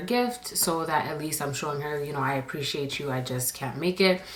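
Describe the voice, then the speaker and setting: Over noticeable background noise, a woman with a very deep, low pitch talks at a fairly quick pace with ordinary pitch variation. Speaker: storytime YouTuber. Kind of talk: storytime monologue. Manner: quieter than usual, normal inside voice.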